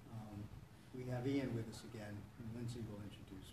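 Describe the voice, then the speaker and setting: Against light background noise and audible room echo, a man speaks at a moderate pace with a somewhat breathy voice. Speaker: support meeting host. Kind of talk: welcome talk to a meeting. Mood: warm, encouraging. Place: church. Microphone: camera far.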